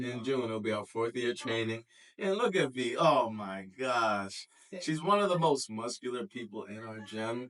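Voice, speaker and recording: Lively intonation at a moderate pace in a normal speaking voice. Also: man, medium pitch for a man. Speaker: fitness coach. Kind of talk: casual interview, host.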